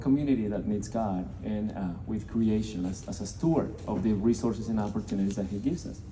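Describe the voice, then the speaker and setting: A man's somewhat breathy, dark, mellow voice, fairly low in pitch, in a Colombian accent at a fairly quick pace, with audible room echo. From Colombia (Bogota). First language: Spanish. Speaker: nonprofit representative. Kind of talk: speech to a business audience. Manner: halting, many fillers and repeated words.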